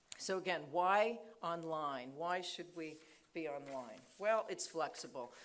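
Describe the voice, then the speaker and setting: A woman speaks very slowly at a fairly low pitch. Audible room echo surrounds her voice. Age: 50s. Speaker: nursing school dean. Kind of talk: conference talk. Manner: hesitant, many fillers.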